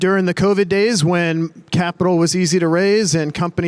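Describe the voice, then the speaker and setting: The speaker has an American accent and talks at a moderate pace with fairly even intonation. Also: man. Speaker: real estate developer executive. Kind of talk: panel discussion.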